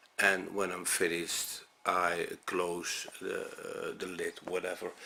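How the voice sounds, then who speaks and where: This man speaks with a Dutch accent. His pace is very slow. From Netherlands. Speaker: music reviewer. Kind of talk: unscripted video review. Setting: talking to camera at home. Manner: halting, many fillers.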